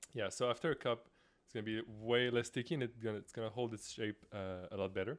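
A man speaks with a non-native accent. His intonation is fairly even. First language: not English. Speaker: cooking show co-host. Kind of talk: casual cooking tutorial. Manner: hesitant, searching for words.

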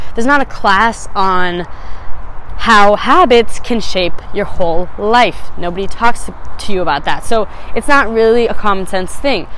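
Against noticeable background noise, a woman with an American accent speaks at a medium pitch and a fairly slow pace with ordinary pitch variation. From Phoenix, Arizona. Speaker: podcast host. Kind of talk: casual solo monologue. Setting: outdoors on a rooftop.

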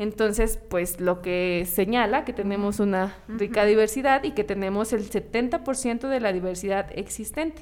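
A woman's fairly high voice in a Mexican accent, with ordinary pitch variation, a fairly slow pace and hardly any pauses. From Mexico. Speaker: podcast co-host. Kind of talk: casual chat; reading aloud.

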